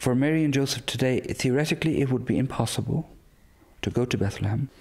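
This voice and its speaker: A man with an Irish accent speaks at medium pitch with fairly even intonation. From west of Ireland. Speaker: priest. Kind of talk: interview. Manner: halting, with fillers.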